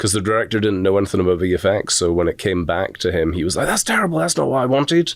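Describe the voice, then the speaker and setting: At a very fast pace with hardly any pauses, a man talks in a very deep, low pitch, his loudness very even and his pitch variation ordinary. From Scotland. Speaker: animation instructor. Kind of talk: podcast interview.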